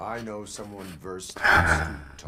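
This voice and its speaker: A put-on character voice delivers lines fairly slowly. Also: man. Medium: video game. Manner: flat, formal, measured.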